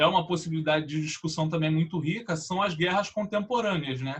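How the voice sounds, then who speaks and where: A man's high voice has a bright, sharp tone and ordinary pitch variation. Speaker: writing teacher. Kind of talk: educational panel discussion.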